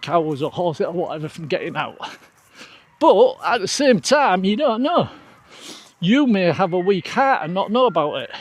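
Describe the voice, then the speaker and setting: High-pitched and swinging very widely in pitch, a man's voice comes through. He talks at a fairly slow pace. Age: old. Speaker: outdoor vlogger. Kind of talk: casual vlog chat. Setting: outdoors on a trail run. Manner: conversational, rambling asides.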